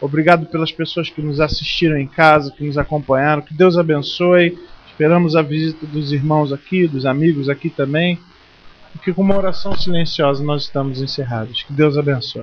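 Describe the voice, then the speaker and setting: At a moderate pace, a man with a slight Rio de Janeiro accent speaks at a fairly high pitch with fairly even intonation. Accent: slight Rio de Janeiro (carioca). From Brazil, Rio de Janeiro. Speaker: pastor. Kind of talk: closing prayer and sermon wrap-up. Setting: church service.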